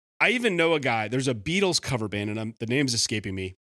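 A man with an Upper Midwest accent, very fast pace, lively intonation and a bright, sharp tone. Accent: Upper Midwest American. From Wisconsin. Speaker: cover band musician. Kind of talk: casual chat.

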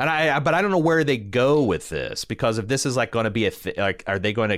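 A man with an American accent, a medium pitch and very wide pitch swings, on a very clean recording with a silent background. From Indiana, US Midwest. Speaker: podcast co-host. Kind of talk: casual chat.

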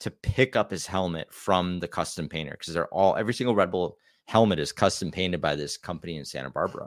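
In an American accent, a man speaks with a very deep, low pitch and lively intonation. The recording is very clean with a silent background, and the sound is dry and close with no echo. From US Midwest, Wisconsin. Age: 40s. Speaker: YouTuber and former pro trials rider. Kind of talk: casual chat. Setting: studio.

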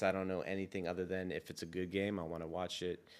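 On a very clean recording with a silent background, a man with an American accent speaks in a very deep, low pitch and a flat monotone. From US West Coast, San Francisco. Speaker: custom sneaker designer. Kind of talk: casual interview.

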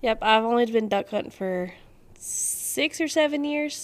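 With a North Carolina accent, a woman speaks at a fairly high pitch. Her intonation is lively. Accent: Southern US (North Carolina). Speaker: duck hunter and photographer. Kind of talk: casual chat.

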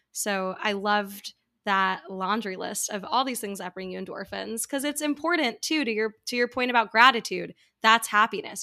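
At a fairly quick pace, an unremarkable speaking voice with an American accent and ordinary pitch variation comes through a very clean recording with a silent background. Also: woman. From US, New York. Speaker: podcast host, former opera performer. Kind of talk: casual interview.

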